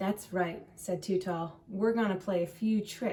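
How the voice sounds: Reading voice of a natural kind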